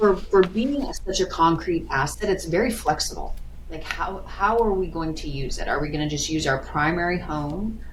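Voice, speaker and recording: A woman with an American accent at a moderate pace, amid noticeable background noise and audible room echo. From US Midwest, South Dakota. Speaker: financial planner. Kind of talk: casual chat. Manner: animated.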